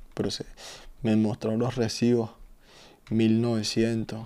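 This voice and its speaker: Speaking at a medium pitch, a man keeps a monotone, flat intonation in a dark, mellow tone. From Venezuela (Caracas). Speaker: gaming streamer. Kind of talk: casual chat. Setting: live stream. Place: home room.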